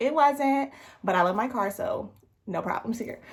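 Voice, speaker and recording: Here is a woman with an unremarkable speaking voice. Her intonation is lively. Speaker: vlogger. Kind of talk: casual vlog narration.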